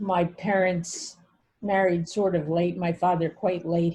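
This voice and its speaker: This woman speaks with an American accent at a fairly slow pace. Her fairly low pitch stays monotone, with flat intonation. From Brooklyn, New York and Bucks County, Pennsylvania. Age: 70s. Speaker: family therapist and author. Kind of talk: interview.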